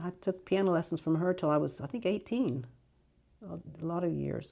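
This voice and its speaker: With an American accent, a woman speaks at a fairly quick pace in a fairly low pitch, her tone dark and mellow with vocal fry and ordinary pitch variation, on a very clean recording with a silent background. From Clarksburg, West Virginia, Greek family. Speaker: community member recalling local history. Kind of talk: oral history interview. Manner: hesitant, with fillers.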